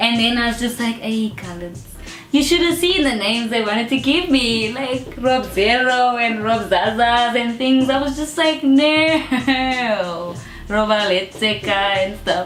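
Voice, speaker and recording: Against noticeable background noise and audible room echo, a woman speaks at a fairly slow pace in a high pitch, with lively intonation and an animated tone. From South Africa, Johannesburg area. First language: not Afrikaans. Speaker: rapper and artist. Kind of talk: interview.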